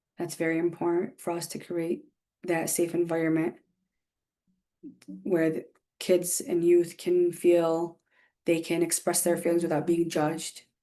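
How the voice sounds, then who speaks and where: A dark, mellow voice speaks in a monotone, flat way. The pace is fairly slow, broken by long, frequent pauses. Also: woman, fairly low pitch for a woman. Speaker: behavioral health therapist, workshop presenter. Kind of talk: online workshop presentation. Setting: video call. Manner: warm, encouraging.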